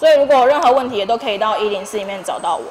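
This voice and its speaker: With a Taiwanese accent, a woman talks in a fairly high pitch with ordinary pitch variation over light background noise. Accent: Taiwanese Mandarin. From Tainan, Taiwan. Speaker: long-term care nurse; speaker. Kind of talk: school career talk; classroom talk to students. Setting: classroom with students. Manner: fast talker; casual, humorous. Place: classroom. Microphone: handheld.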